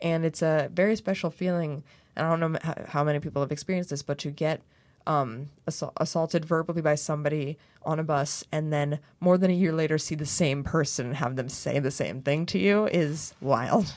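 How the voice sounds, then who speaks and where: On a very clean recording with a silent background, a woman speaks in a very deep, low voice with ordinary pitch variation. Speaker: comedian and performance artist. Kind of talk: casual chat. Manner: soft-spoken.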